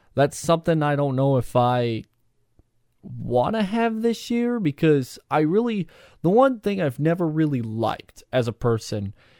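A man's plain, everyday voice at a fairly slow pace with lively intonation, on a very clean recording against a silent background. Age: 20s. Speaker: solo podcast host. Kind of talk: casual solo podcast monologue. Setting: solo recording. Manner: rambling, many fillers and false starts.

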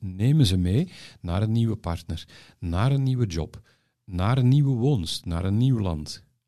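A man talks at a moderate pace in a fairly low voice with a dark, mellow tone. His intonation is lively. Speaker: podcast host, former advertising professional. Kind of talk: personal interview.

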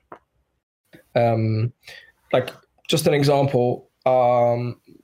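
A somewhat breathy quality runs through the voice. Its tone is dark and mellow. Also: man. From Bulgaria; South Africa. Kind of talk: casual chat. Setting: video call.

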